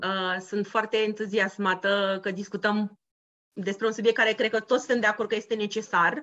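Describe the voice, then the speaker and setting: A woman speaks with fairly even intonation at a fairly high pitch. She has a plain, everyday voice. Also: quiet background. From Romania. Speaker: podcast co-host, former bank employee. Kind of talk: casual chat.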